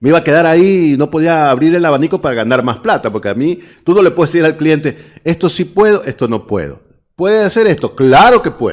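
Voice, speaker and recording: This man has a plain, everyday voice with a fairly high pitch. He talks at a fairly quick pace with lively intonation. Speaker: radio announcer and voice-over artist. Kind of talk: interview.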